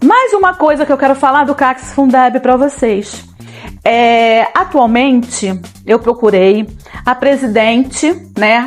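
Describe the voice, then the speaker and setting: Music plays behind a woman with a high-pitched voice. She speaks very slowly, with ordinary pitch variation. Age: 50s. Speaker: city council candidate, retired teacher. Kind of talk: political campaign talk to camera.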